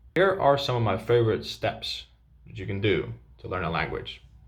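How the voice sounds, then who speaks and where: A man with a Dutch accent speaks at a medium pitch with vocal fry. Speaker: language coach. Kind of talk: tutorial.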